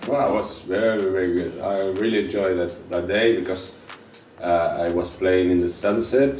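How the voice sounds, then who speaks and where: A man speaks with a very deep, low pitch. Room echo is audible, and there is noticeable background noise. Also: ordinary pitch variation, moderate pace. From Spain. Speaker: DJ and music producer. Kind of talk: interview. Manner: halting.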